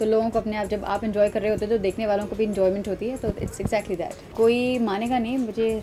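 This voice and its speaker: Faint music sits behind a woman who talks at a very fast pace in monotone, flat intonation. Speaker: interviewee. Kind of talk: interview answer. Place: home room. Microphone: handheld.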